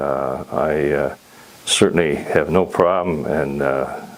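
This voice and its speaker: A man's very deep, low voice with a western Canadian accent amid noticeable background noise. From Canada (Alberta). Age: 80s+. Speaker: patient. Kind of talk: patient testimonial. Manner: hesitant, many fillers.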